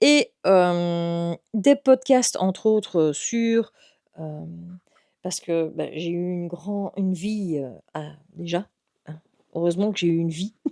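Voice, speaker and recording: Very slow speech with long, frequent pauses carries a dark, mellow tone, lively intonation and big swings in loudness, in a dry, close sound without echo. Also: woman, fairly low pitch for a woman. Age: 40s. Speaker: youtuber and chef. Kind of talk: casual vlog introduction. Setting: at home. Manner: halting, many fillers.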